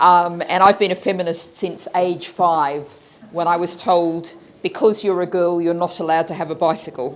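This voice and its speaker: With an Australian accent, a woman speaks at a moderate pace with fairly low pitch and fairly even intonation. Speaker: politician. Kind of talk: panel talk.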